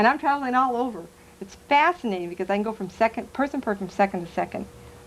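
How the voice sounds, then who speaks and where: A woman speaks in an animated tone. Her pace is very fast. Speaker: psychic medium. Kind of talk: talk to a live audience.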